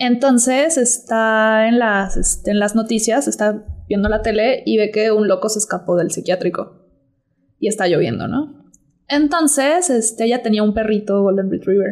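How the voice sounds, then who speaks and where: Using a Mexican accent, a woman talks at a moderate pace with a fairly high pitch, ordinary pitch variation and very even loudness. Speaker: podcast co-host. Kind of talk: casual chat.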